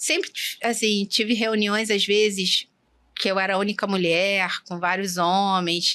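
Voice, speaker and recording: A woman's bright, sharp tone with fairly even intonation at a fairly slow pace, in a very clean recording with a silent background. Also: medium pitch for a woman. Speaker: endoscopist doctor. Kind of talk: interview conversation. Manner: soft-spoken.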